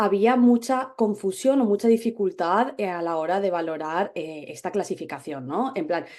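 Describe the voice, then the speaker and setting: In a Spanish accent, a woman with a dark, mellow tone and lively intonation speaks at a moderate pace over a quiet background. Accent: Spanish (Spain). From Spain. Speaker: dermatologist. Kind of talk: webinar presentation. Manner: hesitant, many fillers.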